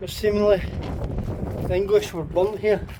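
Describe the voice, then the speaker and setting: With a Scottish accent, a man talks at a moderate pace over noticeable background noise. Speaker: paranormal investigator vlogger. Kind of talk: casual vlog walkthrough. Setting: outdoors at castle ruins.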